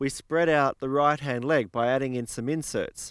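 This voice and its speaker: Over a quiet background, a man talks at a fairly quick pace with ordinary pitch variation, the sound dry with no echo. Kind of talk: product explanation to camera. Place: open country. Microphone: handheld.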